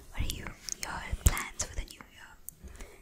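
A breathy, whispering woman at a fairly slow pace. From India. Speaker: skincare and beauty YouTuber. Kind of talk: ASMR skincare tips, whispered talk to camera. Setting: close mic, studio. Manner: soft-spoken, breathy whisper. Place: home room. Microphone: studio mic.

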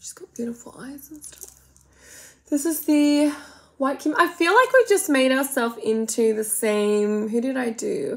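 A woman speaks with an Australian accent. She goes at a fairly slow pace. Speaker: makeup vlogger. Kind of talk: casual makeup tutorial with comedic commentary. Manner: chatty, rambling. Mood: playful, self-mocking. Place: home room. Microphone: phone near.

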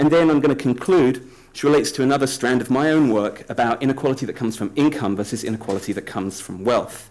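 A man races along at a very fast pace with hardly any pauses and ordinary pitch variation. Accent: British. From Britain. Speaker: political science professor. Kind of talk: conference presentation. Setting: conference panel with audience. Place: hall. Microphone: podium.

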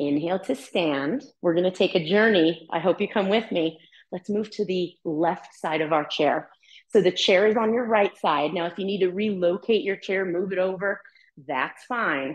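A woman's calm, soothing tone at a moderate pace, with ordinary pitch variation against a quiet background. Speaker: chair yoga instructor. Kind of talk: guided chair yoga class with movement cues. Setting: live online class, participants on mute. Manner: calm, soothing, encouraging; animated, upbeat when cueing movement. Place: home room.

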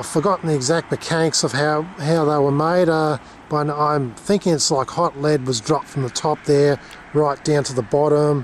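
Light background noise sits under a dry sound with no echo at a moderate pace. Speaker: travel vlogger. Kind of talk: casual vlog chat. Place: street. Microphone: phone near.

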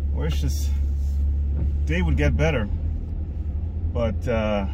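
A man with a very deep, low voice speaks at a fairly slow pace over noticeable background noise. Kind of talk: casual vlog chat. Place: car. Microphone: phone near.

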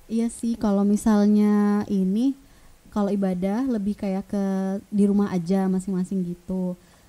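This woman talks at a moderate pace in a dark, mellow tone. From Balikpapan, East Kalimantan, Indonesia; East Kalimantan, Indonesia. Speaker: vocational school teacher. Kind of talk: casual interview. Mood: friendly, relaxed. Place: studio. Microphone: studio mic.

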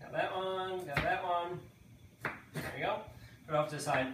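A man with a high pitch is heard over light background noise, with audible room echo. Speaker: home cook host. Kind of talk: tutorial. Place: kitchen. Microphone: camera far.

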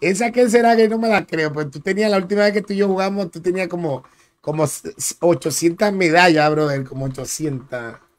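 A man with a high-pitched voice talks at a moderate pace. His tone is animated and his intonation lively. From Dominican Republic. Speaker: gaming streamer. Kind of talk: live gameplay commentary.

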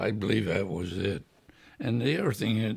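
Somewhat breathy, a man speaks at a fairly slow pace. The background is quiet. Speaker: World War II veteran. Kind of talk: oral history interview answer. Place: home room.

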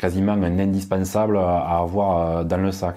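A man's very deep, low voice with a dark, mellow tone and a southern French accent, at a very slow pace over a quiet background. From southern France. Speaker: tech YouTuber. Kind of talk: product review. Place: home room. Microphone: lapel.

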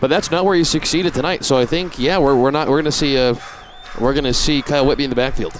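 A man with a fairly high voice talks at a very fast pace, with ordinary pitch variation and very even loudness. The sound is dry, with no echo and light background noise. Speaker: color commentator. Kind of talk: sports analysis commentary; sports commentary. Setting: broadcast booth at a stadium. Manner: analytical, conversational. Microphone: headset.

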